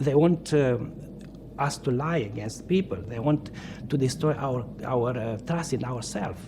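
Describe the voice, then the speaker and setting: A man's medium-pitched voice with a Romanian accent, very slow pace and lively intonation. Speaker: Orthodox priest, former political prisoner. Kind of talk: interview testimony. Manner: halting, many fillers.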